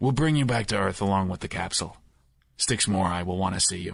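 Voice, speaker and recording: A man does a raspy put-on character voice, very deep and low, with lively intonation. He goes at a very fast pace against a quiet background. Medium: read story. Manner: cold, menacing.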